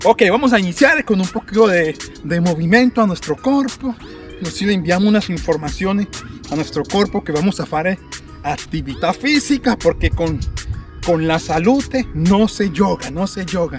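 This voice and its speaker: A man speaks at a moderate pace with clear music in the background. The sound is dry with no echo. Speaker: fitness trainer. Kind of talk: workout tutorial. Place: garden. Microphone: phone near.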